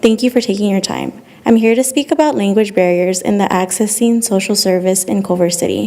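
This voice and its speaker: Noticeable background noise accompanies a woman speaking at a medium pitch with ordinary pitch variation. She talks at a fairly quick pace with hardly any pauses. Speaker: public commenter, social work student. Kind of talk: prepared public comment. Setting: city council meeting.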